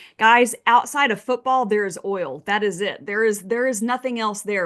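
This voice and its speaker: A woman with a Texas accent speaks at a moderate pace in a bright, sharp, animated tone, at a fairly high pitch with ordinary pitch variation and a quiet background. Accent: Texas Southern US. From Texas, Midland. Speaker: oil and gas investing expert. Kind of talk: webinar presentation. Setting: video call.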